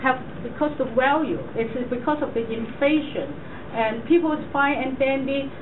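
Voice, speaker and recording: Noticeable background noise and audible room echo surround a woman speaking at a moderate pace in a high pitch with ordinary pitch variation. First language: not English. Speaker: toastmasters club speaker. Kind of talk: prepared speech and Q&A. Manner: halting.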